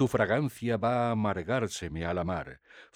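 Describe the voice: Someone is doing plain reading aloud.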